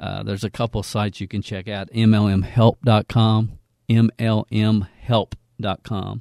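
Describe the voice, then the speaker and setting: With a Southern US accent, a man speaks in a fairly low pitch and a dark, mellow tone, his intonation monotone and flat, in a very clean recording with a silent background and a dry, close sound with no echo. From Kentucky, US South. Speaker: network marketing trainer. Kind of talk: educational podcast intro, sales-style pitch.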